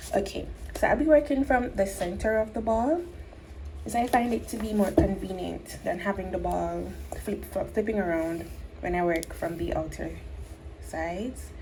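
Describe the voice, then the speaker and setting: A woman speaks with long, frequent pauses through noticeable background noise and audible room echo. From Jamaica. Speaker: crochet tutorial creator. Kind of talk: tutorial. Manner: slow, step-by-step.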